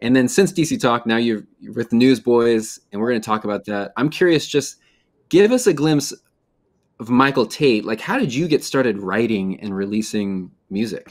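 Over a quiet background, a man with an American accent talks at a moderate pace with lively intonation. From Chicago area. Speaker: interviewer, music company founder; interviewer, podcast host. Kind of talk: interview. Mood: relaxed, friendly. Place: home room.

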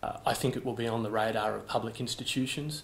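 Against light background noise, a man with an Australian accent speaks at a moderate pace. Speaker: auction house managing director and auctioneer. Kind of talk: auction house presentation of an artwork lot. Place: office.

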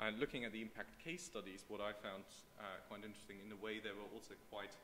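In a room with audible echo and light background noise, a man with a fairly low voice talks at a fairly quick pace with ordinary pitch variation. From Germany. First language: German. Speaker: political scientist; conference presenter. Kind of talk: conference talk. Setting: seminar room with audience. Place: hall.

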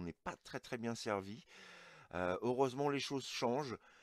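Lively intonation marks this man's medium-pitched voice. The sound is dry with no echo, and the background is quiet. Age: 40s. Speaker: toy collector YouTuber. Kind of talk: unboxing review. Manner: hesitant, many fillers; enthusiastic. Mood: enthusiastic. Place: home room.

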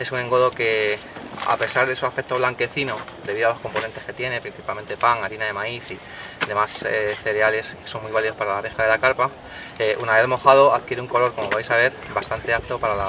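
A man's very fast, flat monotone, dry and echo-free, with noticeable background noise. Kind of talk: tutorial. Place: waterside. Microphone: camera far.

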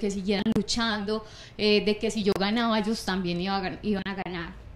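Here a woman speaks. Her intonation is fairly even. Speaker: guest. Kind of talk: interview answer. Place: studio. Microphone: handheld.

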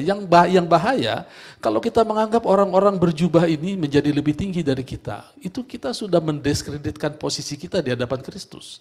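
This man talks very fast in an animated tone, his high pitch swinging very widely. The background is quiet. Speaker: preacher. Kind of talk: sermon. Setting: church. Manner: animated, emphatic preaching, rhetorical questions to congregation. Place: church.

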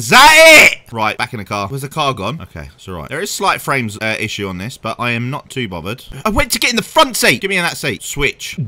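A man with a British accent talks at a very fast pace with hardly any pauses and big swings in loudness. The background is quiet. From UK. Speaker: gaming YouTuber. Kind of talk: gameplay commentary. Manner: animated. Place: home room. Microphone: headset.

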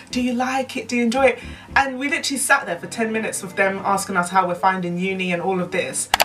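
Over clear music in the background, a woman talks at a very fast pace with ordinary pitch variation. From United Kingdom. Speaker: YouTuber. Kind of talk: casual story time to camera. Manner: lively, chatty. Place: home room.

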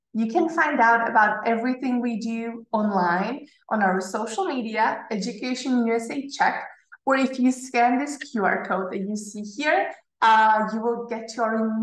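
With audible room echo but a quiet background, a woman speaks at a fairly slow pace with ordinary pitch variation. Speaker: study advisor hosting webinar. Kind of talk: presentation. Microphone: webcam.

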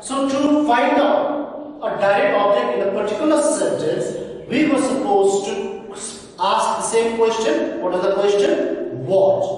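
In a room with strong echo, a man with a high pitch speaks at a fairly slow pace and with lively intonation. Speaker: school teacher. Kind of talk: lecture. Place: classroom. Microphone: camera far.

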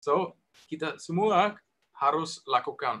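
A man with a high-pitched voice. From Germany. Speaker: guest. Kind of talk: webinar talk presentation. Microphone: webcam.

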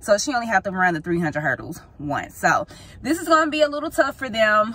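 The voice moves at a fairly quick pace with very wide pitch swings, recorded dry with no echo. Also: woman. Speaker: parent vlogger. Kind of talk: casual vlog chat. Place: car. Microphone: phone near.

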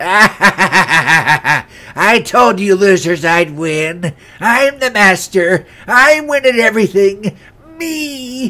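Using a put-on character voice, a man speaks at a very slow pace in a raised, projected voice, high-pitched with very wide pitch swings. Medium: voice reel.

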